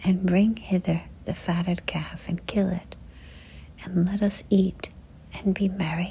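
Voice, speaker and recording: Whispered and soft-spoken, the voice moves at a very slow pace. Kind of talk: scripture reading, ASMR. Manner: whispered, soft-spoken.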